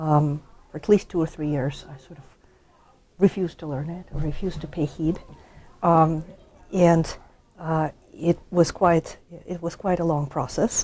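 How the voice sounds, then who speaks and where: A dark, mellow voice in a Russian accent, with fairly even intonation, a moderate pace, big swings in loudness and long, frequent pauses. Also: woman, fairly low pitch for a woman. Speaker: history professor. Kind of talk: interview. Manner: halting, many fillers.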